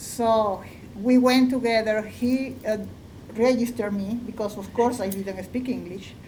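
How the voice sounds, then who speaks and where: A woman's somewhat breathy, fairly high voice with a dark, mellow tone, fairly even intonation and a fairly slow pace, amid audible room echo. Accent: Spanish. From Venezuela. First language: Spanish. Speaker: artist. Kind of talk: panel discussion.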